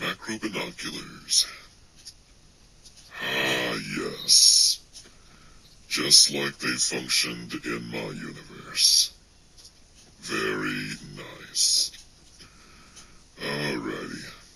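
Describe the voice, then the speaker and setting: A man uses a put-on character voice pitched very deep and low. He goes very slowly, with long, frequent pauses. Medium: solo performance. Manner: hesitant, filled with ums and uhs.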